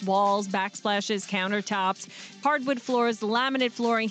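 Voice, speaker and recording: This woman has a fairly high pitch and ordinary pitch variation. Noticeable background noise runs under her voice. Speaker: talk radio morning show host. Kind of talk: ad-lib live radio commercial read. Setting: radio studio. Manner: conversational, promotional.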